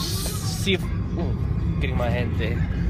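Clear music plays in the background. A man's voice comes through dry, with no echo. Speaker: vlogger. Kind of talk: casual vlog chat. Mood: relaxed, cheerful. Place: car. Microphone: phone near.

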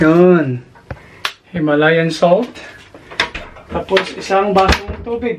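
A man with a high pitch and ordinary variation talks at a very slow pace, leaving long, frequent pauses over noticeable background noise. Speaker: vlogger. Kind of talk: casual vlog narration.

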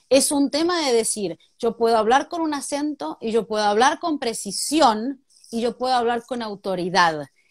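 Lively in intonation and moderate in pace, a woman is heard with a dry, close sound and no echo in a very clean recording with a silent background. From Argentina. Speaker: journalist and TV presenter. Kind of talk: interview conversation.

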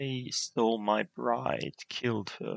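A quiet background sits under a natural voice that reads aloud with fairly even intonation.

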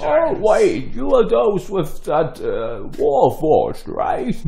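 A man speaks in a put-on character voice, pitched high, at a very slow pace over noticeable background noise. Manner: doddering, cheerful, absent-minded.

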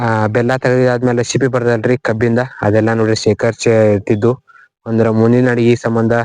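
The man's medium-pitched voice stays monotone and flat, with very even loudness and a dry, close sound with no echo. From northern Karnataka, Belagavi district. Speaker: village vlogger. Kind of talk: vlog tour explanation. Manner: halting.

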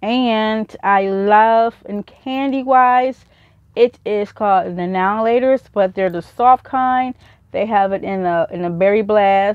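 A woman's fairly high-pitched voice at a very slow pace, with ordinary pitch variation, a dry sound with no echo, and a quiet background. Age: 40s. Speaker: YouTuber. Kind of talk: haul video. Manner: casual, rambling. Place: home room. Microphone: webcam.

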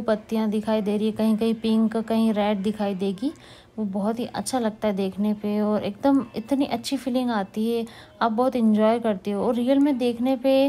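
A woman's voice, somewhat breathy, at a fairly slow pace. Her intonation stays fairly even and her loudness very even. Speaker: vlogger narrating the drive. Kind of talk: casual vlog chat. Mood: pleased, relaxed. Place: car. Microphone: phone near.

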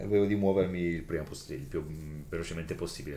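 A man talks at a fairly quick pace with fairly even intonation. Light background noise and audible room echo are present. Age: 30s. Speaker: role-playing game player. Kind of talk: tabletop role-playing game session. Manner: jokey. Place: home room.

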